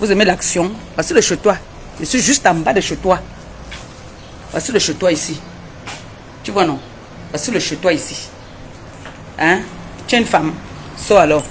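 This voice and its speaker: Over noticeable background noise, a woman speaks at a moderate pace and medium pitch in an animated tone, her intonation lively, her loudness swinging widely, and her speech broken by long, frequent pauses. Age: 70s. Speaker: social media livestreamer. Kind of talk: confrontational live video rant. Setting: in a car on the street.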